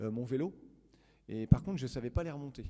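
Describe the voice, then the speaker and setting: A man speaks at a moderate pace in a medium pitch, with ordinary pitch variation and a dark, mellow tone. The recording is very clean, with a silent background. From rural western France. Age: 30s. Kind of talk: public talk. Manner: hesitant, many fillers.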